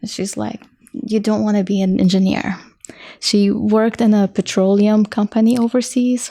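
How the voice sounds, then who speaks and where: A woman's dark, mellow, somewhat breathy voice, flat and monotone, at a moderate pace. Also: fairly high pitch for a woman. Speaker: engineer, podcast guest. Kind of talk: casual interview.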